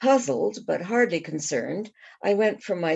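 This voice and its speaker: A woman speaks with lively intonation and vocal fry. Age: 70s. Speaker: author. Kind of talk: reading aloud. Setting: online reading event.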